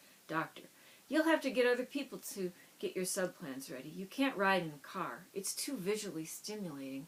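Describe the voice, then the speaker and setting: Her pitch swings very widely as the woman speaks at a moderate pace. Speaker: author and brain injury survivor. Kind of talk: reading aloud from own book. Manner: stutters at times; hesitant, with fillers.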